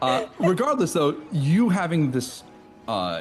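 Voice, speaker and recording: A man talks at a moderate pace with an American accent. There is music in the background. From US Midwest, Wisconsin. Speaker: podcast host. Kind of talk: podcast interview.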